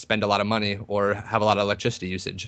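A man talks at a very fast pace. His tone is bright and sharp, and the background is quiet. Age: 20s. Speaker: cryptocurrency investor. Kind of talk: podcast interview. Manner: halting, many repetitions.

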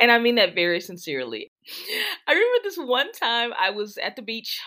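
A woman with an American accent speaks at a fairly quick pace in a bright, sharp tone. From Texas. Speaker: educational technology specialist and author. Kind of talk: interview conversation.

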